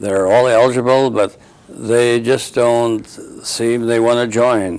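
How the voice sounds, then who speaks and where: A man speaks with an Upper Midwest accent at a medium pitch and a very slow pace. His loudness stays very even, and his intonation is monotone and flat. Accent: Upper Midwest American. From North Dakota. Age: 70s. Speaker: war veteran. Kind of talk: oral history interview. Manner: halting.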